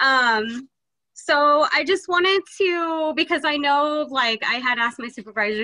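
A woman projects a raised voice with a bright, sharp tone and lively intonation. The background is quiet. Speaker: health clinic outreach worker. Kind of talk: community announcement. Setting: video call. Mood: friendly, slightly nervous. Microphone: video call.

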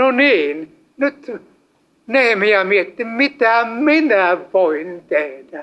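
Very slowly, a man speaks at a high pitch with very wide pitch swings and a bright, sharp tone. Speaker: evangelist preacher. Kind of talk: sermon. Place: hall.

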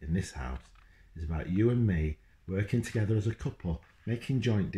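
What's heard here is plain reading aloud. No more than that.

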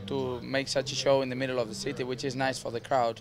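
Over noticeable background noise, a man talks at a very fast pace and medium pitch, his intonation fairly even and the sound dry with no echo. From Spain. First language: Spanish. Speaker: show jumping rider. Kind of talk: interview. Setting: outdoors. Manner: halting. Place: stadium.

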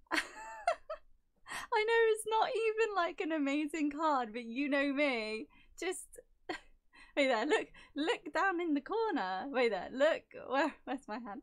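A woman speaks very slowly at a high pitch, with very wide pitch swings and long, frequent pauses. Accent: English. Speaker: YouTuber opening trading cards. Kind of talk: casual unboxing commentary. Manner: low-key, little reaction.

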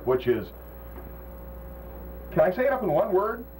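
With an American accent, a man speaks in an upbeat tone at a fairly quick pace. Light background noise is present. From United States. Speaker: morning radio DJ. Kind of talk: morning radio show banter with jokes. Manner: quick, jokey, upbeat. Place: studio.

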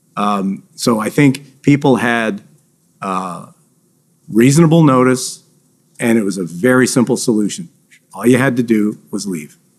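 A man's lively, fairly slow delivery with long, frequent pauses against a quiet background. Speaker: government finance official witness. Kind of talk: witness testimony under questioning. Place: hall.

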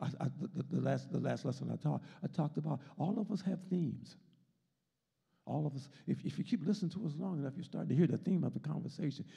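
A very fast voice with an American accent, a dark, mellow tone and vocal fry. Pitch varies in an ordinary way against a quiet background. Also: man, fairly high pitch for a man. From US. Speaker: Sunday school teacher, deacon. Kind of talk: Bible lesson and sermon, with prayer. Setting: church, streamed video with congregation. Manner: rhythmic, repetitive, call-and-response preaching, fervent and rising in intensity; repeats words and phrases, stop-start, emphatic. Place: church. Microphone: handheld.

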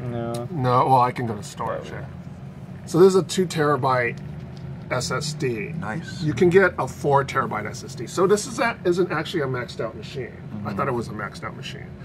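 Big swings in loudness mark this man's speech, which has a fairly high pitch and lively intonation over noticeable background noise. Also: fairly quick pace. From Philippines. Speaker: tech journalist. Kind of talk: live stream unboxing and review. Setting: office desk, live stream.

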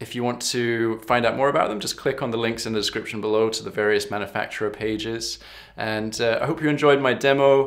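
The background stays quiet. A man talks with fairly even intonation. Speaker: harmonica teacher. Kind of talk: product review talk. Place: home room.

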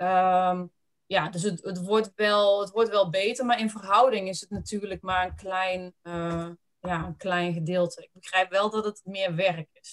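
Over a quiet background, a woman speaks at a fairly slow pace in a medium pitch, with fairly even intonation and big swings in loudness. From Netherlands. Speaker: webinar host. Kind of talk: presentation. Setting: web seminar. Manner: halting. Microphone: video call.

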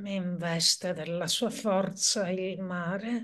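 A woman talks with fairly even intonation in a quiet background. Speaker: poetry reader and performer. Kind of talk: poetry reading aloud, with a short spoken introduction. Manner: slow, measured, hushed and meditative delivery with deliberate pauses. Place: home room. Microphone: webcam.

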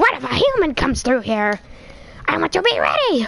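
A woman's put-on character voice at a fairly quick pace, with light background noise. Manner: loud, goofy.

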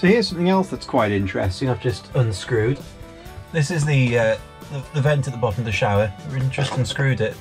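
Clear music plays in the background. Over it, a man talks at a fairly quick pace. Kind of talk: tutorial. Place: bathroom. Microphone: phone near.

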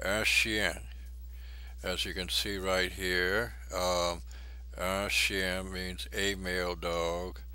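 A man talks very slowly in a very deep, low voice, his intonation lively. Audible echo from the room surrounds him. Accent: Cajun. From Louisiana, Cajun country. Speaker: language instructor. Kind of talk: tutorial. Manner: halting.

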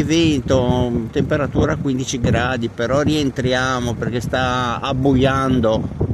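The talking moves at a fairly slow pace. Clear background noise runs underneath. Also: man.

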